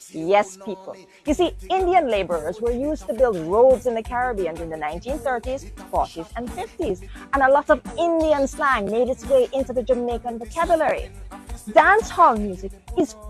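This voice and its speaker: Against music in the background, a woman talks at a moderate pace in a high pitch, her loudness shifting a lot and her pitch swinging very widely. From Jamaica. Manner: snarky, condescending.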